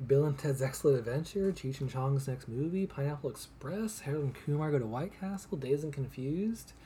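This man's voice is fairly high in pitch, with a dark, mellow tone and a somewhat breathy quality. He talks at a fairly quick pace with hardly any pauses and ordinary pitch variation. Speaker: podcast co-host. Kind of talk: casual chat.

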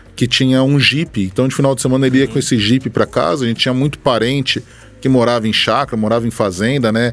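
Music behind a man speaking at a fairly quick pace, medium pitch, fairly even intonation. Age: 30s. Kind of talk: casual chat.

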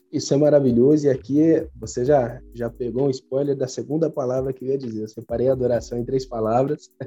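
A man's medium-pitched voice, dark and mellow, at a fairly quick pace with hardly any pauses and fairly even intonation. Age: 20s. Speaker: pastor. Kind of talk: casual chat.

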